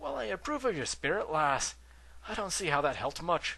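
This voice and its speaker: Putting on a character voice, a man speaks at a fairly high pitch and a fairly quick pace. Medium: read story. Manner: gruff.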